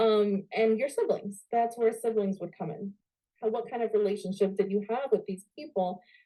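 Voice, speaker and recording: A woman with an American accent speaks at a fairly high pitch, with a dark, mellow tone and fairly even intonation. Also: moderate pace. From New York. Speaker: spiritual coach. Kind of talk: online workshop. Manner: casual, many fillers like okay.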